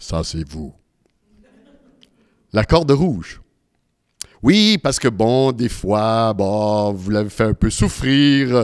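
A man speaks at a very slow pace with long, frequent pauses against a quiet background. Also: lively intonation. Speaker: humorist, magician and presenter giving a talk on grief; presenter. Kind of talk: live talk with magic demonstration. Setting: stage with live and online audience. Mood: warm, consoling. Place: hall. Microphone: handheld.

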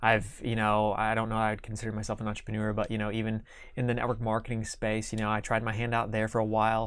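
Flat and monotone, a man speaks with a Midwestern American accent. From Kansas. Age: 30s. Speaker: entrepreneur. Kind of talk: interview. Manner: halting.

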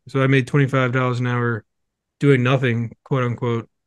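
In a dry recording with no echo and a quiet background, a man speaks at a moderate pace. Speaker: guest. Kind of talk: interview answer. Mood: relaxed storytelling. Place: home room. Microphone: studio mic.

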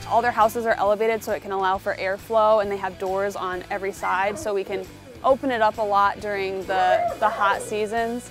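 A woman at a fairly quick pace with ordinary pitch variation, dry sound with no echo and clear music in the background. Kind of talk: interview answer. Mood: warm, enthusiastic. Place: open country. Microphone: lapel.

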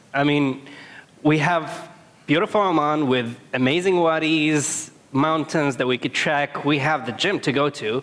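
Keeping to a moderate pace, a man talks. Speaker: conference speaker. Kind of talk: public talk storytelling. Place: stage. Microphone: headset.

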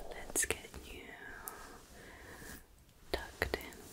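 The woman speaks in a whisper. Her voice is soft-spoken. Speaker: ASMR roleplay host. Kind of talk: soft ASMR roleplay talk. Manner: soft close-mic ASMR whisper. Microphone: studio mic.

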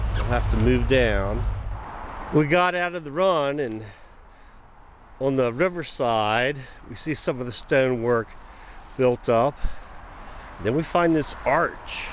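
Speaking at a slow pace, a man leaves long, frequent pauses.

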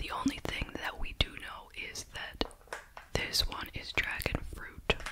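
Someone whispers, soft-spoken and at a fairly slow pace, over loud background noise. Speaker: candy reviewer. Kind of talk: casual review chat. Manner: soft whispered ASMR review.

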